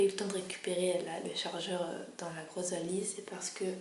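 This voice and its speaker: A soft-spoken woman at a medium pitch, with audible room echo and noticeable background noise. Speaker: travel vlogger. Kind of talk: casual vlog talk. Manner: hesitant, many fillers.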